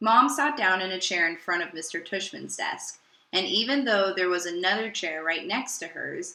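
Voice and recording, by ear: The speaker reads aloud in a natural voice. The intonation is lively.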